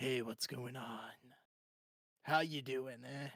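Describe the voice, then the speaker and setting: A raspy, put-on character voice, low-to-middle in pitch, at a very slow pace. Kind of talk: casual greeting.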